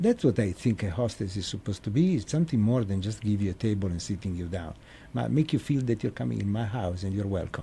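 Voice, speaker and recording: A man with an Italian accent talks at a very fast pace, his fairly low voice dark, mellow and somewhat breathy, with lively intonation. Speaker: restaurant owner. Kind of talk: casual interview. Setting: studio. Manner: halting.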